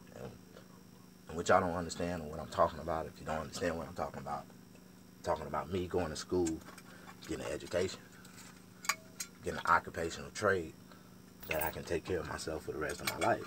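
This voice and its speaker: Very deep, low-pitched male voice at a very fast pace, with long, frequent pauses and noticeable background noise. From US South. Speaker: barber and vlogger. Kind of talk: casual monologue vlog. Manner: animated.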